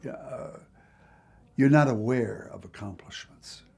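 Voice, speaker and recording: A man's voice with music in the background. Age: 80s+. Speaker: Lutheran pastor. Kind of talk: documentary interview answer. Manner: reflective.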